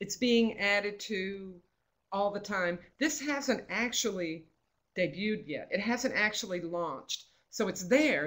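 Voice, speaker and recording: It's an ordinary speaking voice from a woman at a medium pitch. She has lively intonation and a fairly slow pace. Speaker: state librarian presenting a webinar. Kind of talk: webinar presentation with slides.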